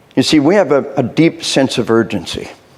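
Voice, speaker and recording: Against noticeable background noise, a man with an American accent talks at a medium pitch. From US South (Arkansas). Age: 60s. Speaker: military trainer and speaker. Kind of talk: workshop lecture. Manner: animated.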